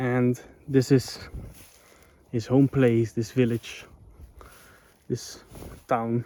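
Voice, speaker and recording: A dark, mellow voice with a Dutch accent at a very slow pace, the sound dry and close with no echo. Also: man. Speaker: vlogger. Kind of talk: casual vlog narration. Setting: outdoors. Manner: casual, hesitant with fillers.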